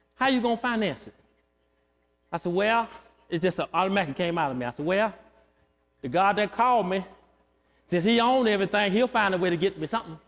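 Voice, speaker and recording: Loud and at a very fast pace, a man speaks in a high pitch with lively intonation, broken by long, frequent pauses. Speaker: pastor. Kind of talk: sermon. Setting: church.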